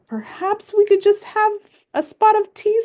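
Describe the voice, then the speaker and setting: A woman uses a put-on character voice. It is squeaky and extremely high-pitched. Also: moderate pace. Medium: read story. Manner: polite, genteel.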